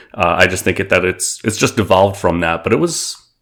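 A man with a New York accent talks at a fairly quick pace. His pitch is very deep and low. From Queens, New York City. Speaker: aviation community figure. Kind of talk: interview.

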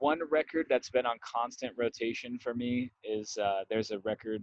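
A man speaks at a moderate pace in a medium-pitched voice, a normal speaking voice. His intonation stays fairly even. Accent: American. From Las Vegas, Nevada. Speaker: musician. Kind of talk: casual chat.

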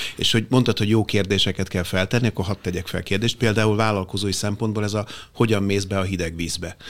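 Talking at a very fast pace, a man uses a fairly low pitch and a monotone, flat intonation. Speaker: business consultant. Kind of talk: panel discussion. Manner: halting.

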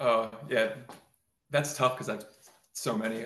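Amid audible room echo, a man speaks at a fairly quick pace with medium pitch. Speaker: guitar builder. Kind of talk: casual interview.

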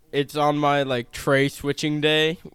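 This man has a clear, smooth, fairly bright tone at a fairly high pitch.

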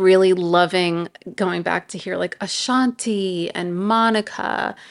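A woman in a New York accent, very slow pace and fairly even intonation against a quiet background. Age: 40s. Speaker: podcast co-host. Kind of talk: casual chat.

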